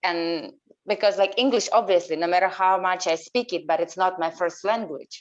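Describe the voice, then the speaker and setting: A woman with a Portuguese accent speaks at a moderate pace and medium pitch, with ordinary pitch variation. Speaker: coach. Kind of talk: group coaching call.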